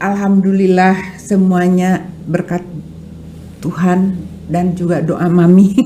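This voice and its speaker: A woman's fairly low voice at a very slow pace, monotone and flat, with noticeable background noise and audible room echo. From West Java (Sundanese). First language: Sundanese (speaking Indonesian). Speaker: art dealer and film producer. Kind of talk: podcast interview. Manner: hesitant, with fillers.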